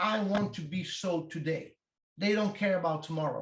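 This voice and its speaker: A man with a high-pitched voice speaks in an Italian accent. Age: 50s. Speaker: strength coach. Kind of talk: interview.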